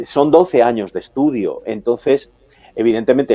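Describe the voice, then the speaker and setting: A man at a moderate pace. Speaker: countertenor opera singer. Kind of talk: TV interview. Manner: halting.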